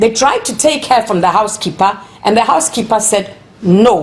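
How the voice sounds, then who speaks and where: A woman speaks at a fairly quick pace with a fairly high pitch. She has an unremarkable speaking voice. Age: 60s. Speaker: protester. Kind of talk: interview testimony.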